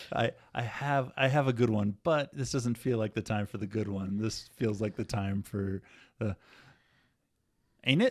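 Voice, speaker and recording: Speaking with an American accent at a moderate pace, the voice has ordinary pitch variation and long, frequent pauses. The recording is very clean, with a silent background. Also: man, medium pitch for a man. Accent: non-regional American. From USA. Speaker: podcast co-host. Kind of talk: casual chat. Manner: animated.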